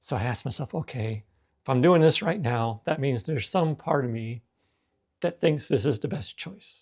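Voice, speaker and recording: Somewhat breathy and medium in pitch, a man speaks at a moderate pace with lively intonation on a very clean recording with a silent background. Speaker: self-help vlogger on anxiety. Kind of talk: personal reflective monologue. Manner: halting, self-correcting.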